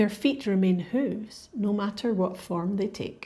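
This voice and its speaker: In a Scottish accent, a woman talks at a fairly slow pace with a relaxed, dark, mellow tone, somewhat breathy, and lively intonation. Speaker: podcast host. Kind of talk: educational podcast narration for English learners. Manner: clear, relaxed storytelling.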